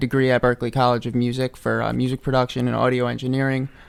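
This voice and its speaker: Speaking in a monotone, flat way, a man of medium pitch talks with a New York accent. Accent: New York area American. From US Northeast, Hudson Valley New York. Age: 20s. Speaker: medicare office staff and audio engineering student. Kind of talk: radio interview. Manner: many fillers, halting.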